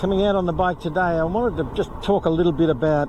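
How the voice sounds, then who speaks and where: A man's high voice shows ordinary pitch variation, with noticeable background noise behind it. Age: 70s. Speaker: retired expat vlogger. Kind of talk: casual vlog monologue. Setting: outdoors on a bike.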